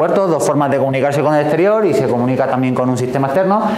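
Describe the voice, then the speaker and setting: Ordinary pitch variation in a man's fairly high voice, amid audible room echo and noticeable background noise. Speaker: software engineer giving tech talk. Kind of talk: technical talk to live and remote audience. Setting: talk room with remote listeners.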